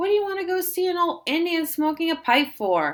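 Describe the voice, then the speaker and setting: In a put-on character voice, a woman speaks squeakily at a fairly quick pace and an extremely high pitch. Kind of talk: read-aloud classroom story. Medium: read story. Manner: blunt, folksy.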